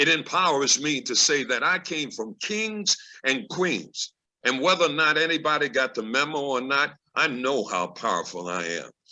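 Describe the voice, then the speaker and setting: Over a quiet background, a man with a fairly high pitch, vocal fry and a bright, sharp tone speaks at a moderate pace with very wide pitch swings. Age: 70s. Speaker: actor and Frederick Douglass reenactor. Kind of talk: testimony. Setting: video call.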